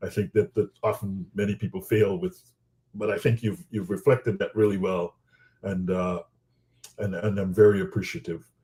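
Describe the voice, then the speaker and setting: A man's fairly low, dark, mellow voice comes across somewhat breathy. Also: ordinary pitch variation, moderate pace. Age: 50s. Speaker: interviewer. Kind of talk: interview. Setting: webinar.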